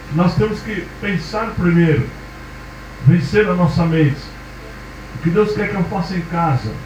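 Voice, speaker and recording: Over noticeable background noise and audible room echo, a man with a high voice talks at a moderate pace with ordinary pitch variation. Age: 60s. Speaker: preacher. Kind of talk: sermon.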